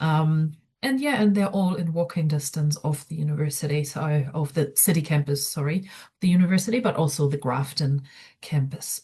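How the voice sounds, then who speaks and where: The voice is somewhat breathy and dark, mellow in tone, moving at a moderate pace with ordinary pitch variation. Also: woman. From outside New Zealand. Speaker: student experience coordinator. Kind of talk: online information session presentation. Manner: hesitant, many fillers.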